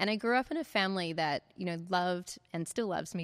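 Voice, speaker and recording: In a New Zealand accent, a woman talks at a fairly quick pace on a very clean recording with a silent background. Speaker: life coach and author. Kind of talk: interview storytelling. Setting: podcast interview. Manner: animated.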